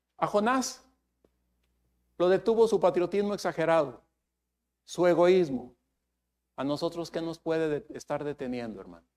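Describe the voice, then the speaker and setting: Speaking at a moderate pace, a man with a high voice uses lively intonation, big swings in loudness and long, frequent pauses, captured on a very clean recording with a silent background. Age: 70s. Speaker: preacher. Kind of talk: sermon.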